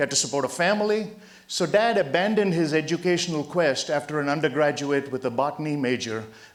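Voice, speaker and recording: A man with a fairly high pitch, at a fairly quick pace and very even loudness, over noticeable background noise. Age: 60s. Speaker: motivational speaker. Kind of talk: motivational talk. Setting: stage with audience.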